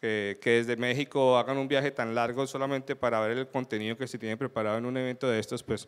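This man's delivery is very fast. Nothing much can be heard behind him. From Colombia. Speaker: security consultant, conference speaker; conference speaker. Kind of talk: conference talk. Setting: stage with audience. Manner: animated. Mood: light, humorous. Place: hall.

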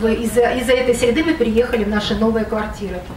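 Speaking at a moderate pace, a woman with a high pitch and ordinary pitch variation is heard over light background noise with audible room echo. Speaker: local resident. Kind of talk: public hearing speech. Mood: critical, complaining. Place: hall.

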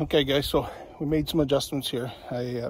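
A man at a moderate pace with fairly even intonation, a dry sound with no echo, and light background noise. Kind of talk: casual vlog chat. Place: open country. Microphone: phone near.

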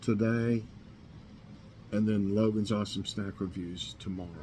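At a moderate pace, a man speaks with a fairly low pitch, a dark, mellow tone and fairly even intonation over light background noise. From Northeast Tennessee. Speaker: YouTube vlogger. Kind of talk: casual morning chat vlog. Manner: halting, many fillers. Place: kitchen. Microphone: webcam.

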